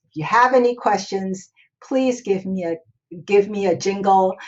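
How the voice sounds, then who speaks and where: A woman talks at a fairly slow pace in a medium-pitched voice. It is an unremarkable speaking voice. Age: 60s. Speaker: escrow officer. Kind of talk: tutorial.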